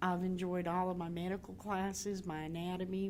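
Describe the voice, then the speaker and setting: A woman with a North Carolina accent, medium in pitch and monotone, flat in intonation, with audible room echo. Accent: Southern US (North Carolina). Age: 60s. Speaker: graduating student. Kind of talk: testimony.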